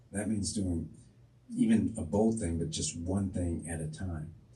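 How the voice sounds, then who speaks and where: A man speaks fairly slowly in a very deep, low pitch with a dark, mellow tone. His voice is somewhat breathy, with audible room echo. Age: 60s. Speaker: school district superintendent. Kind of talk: interview.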